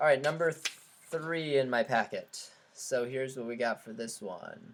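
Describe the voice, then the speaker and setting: This man's voice rises and falls in a normal way. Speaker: statistics teacher. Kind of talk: online review lecture. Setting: live stream. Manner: fast.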